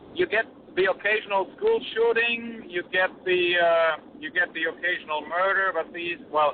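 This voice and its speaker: A high-pitched man at a moderate pace, with ordinary pitch variation and noticeable background noise. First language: German. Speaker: guest on political talk show. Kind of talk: interview. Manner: halting.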